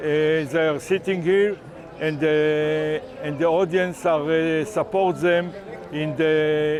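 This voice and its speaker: Over noticeable background noise, a man with a fairly high pitch talks at a very slow pace with fairly even intonation. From Israel. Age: 70s. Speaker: protester. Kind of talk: interview. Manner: halting.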